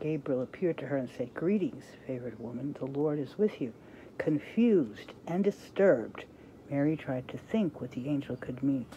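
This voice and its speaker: A woman with a very deep, low voice talks at a moderate pace with lively intonation over light background noise. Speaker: reader sharing a devotional book. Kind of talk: reading aloud with casual comments. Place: home room. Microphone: phone near.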